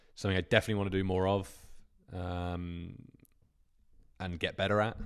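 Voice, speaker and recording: With a British accent and a very deep, low pitch, a man speaks at a fairly quick pace in a monotone, flat intonation on a very clean recording with a silent background. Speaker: YouTube thumbnail coach. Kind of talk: live stream Q&A. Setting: live stream. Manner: casual, hesitant with fillers.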